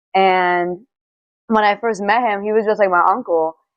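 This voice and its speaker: A woman's medium-pitched voice with a New York accent, in monotone, flat intonation at a moderate pace. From New York City, Bronx. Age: 20s. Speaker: dancer and model. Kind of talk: interview.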